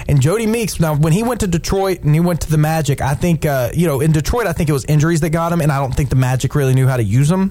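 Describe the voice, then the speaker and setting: A man talking at a very fast pace with hardly any pauses and very even loudness, with music in the background. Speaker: radio host. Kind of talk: sports radio talk show banter. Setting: studio. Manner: animated, enthusiastic.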